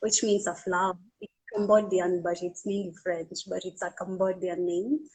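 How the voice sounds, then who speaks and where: A woman with a somewhat breathy voice, big swings in loudness, and a moderate pace. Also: medium pitch for a woman. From Kenya. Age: 20s. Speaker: beauty pageant finalist and model. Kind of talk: live-stream interview. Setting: online live stream. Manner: animated.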